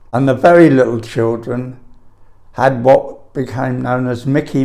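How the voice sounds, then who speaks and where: A man with a London accent speaks with fairly even intonation. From London (Camberwell). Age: 80s+. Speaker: elderly eyewitness answering school children's questions. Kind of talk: oral history interview. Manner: halting, with frequent repetitions.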